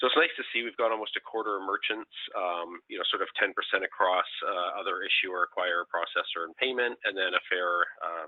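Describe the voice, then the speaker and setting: This man has a Canadian accent. He talks at a fairly quick pace. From Canada. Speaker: payments industry council chair, webinar presenter. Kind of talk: webinar presentation. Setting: online webinar. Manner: hesitant, many fillers.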